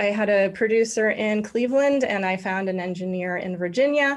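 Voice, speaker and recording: A woman talks at a moderate pace in a plain, everyday voice. Her pitch varies in an ordinary way. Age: 50s. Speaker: violinist and teacher. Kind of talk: casual chat.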